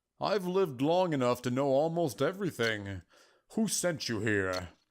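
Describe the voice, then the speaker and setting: A man performs a put-on character voice in a very clean recording with a silent background. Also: medium pitch for a man, moderate pace. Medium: game stream. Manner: calm, patient, affectionate.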